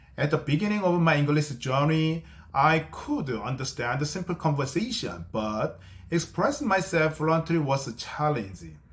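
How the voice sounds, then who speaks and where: A man with a Korean accent talks at a moderate pace in a fairly high pitch with ordinary pitch variation. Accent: non-native English, Korean. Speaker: English-learning YouTuber. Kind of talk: tutorial. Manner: halting, with self-corrections.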